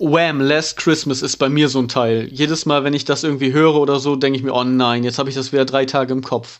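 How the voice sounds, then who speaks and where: Against a quiet background, a man with a fairly high pitch talks at a very fast pace with hardly any pauses and monotone, flat intonation. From East Frisia, Emden. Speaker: podcast host. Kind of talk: casual chat.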